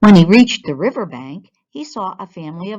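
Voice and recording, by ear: A quiet background behind natural-voiced reading aloud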